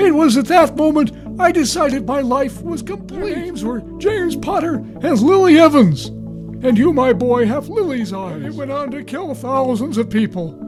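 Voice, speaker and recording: A cartoonish character voice moves at a moderate pace with hardly any pauses. Clear music plays in the background. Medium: puppet show. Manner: casual, slangy.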